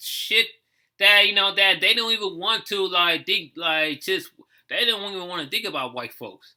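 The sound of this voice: A man with an American accent speaks at a moderate pace and a high pitch. His tone is bright and sharp.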